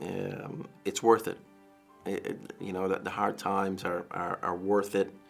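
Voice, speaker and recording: A man's fairly low voice with an American accent, at a fairly slow pace over music in the background. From Dublin, Ireland. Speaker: liver transplant patient. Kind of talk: interview answer.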